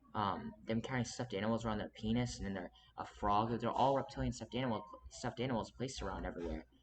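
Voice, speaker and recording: Talking at a very fast pace, a man shows vocal fry and ordinary pitch variation. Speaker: video channel creator. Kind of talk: monologue video commentary.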